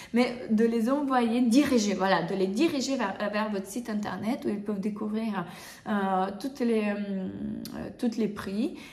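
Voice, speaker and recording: At a very slow pace, a woman with a fairly high pitch speaks amid audible room echo. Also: ordinary pitch variation. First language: not French (speaking French). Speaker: bridal hairdresser and makeup artist, trainer. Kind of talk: tutorial. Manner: halting, many hesitations; casual, conversational.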